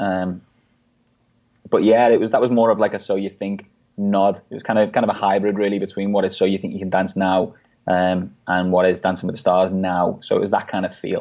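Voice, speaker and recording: With an American accent, a man talks at a fairly quick pace in a fairly low, dark and mellow voice, his intonation flat and monotone over a quiet background. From England, Liverpool. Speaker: dancer and DJ. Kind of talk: interview chat.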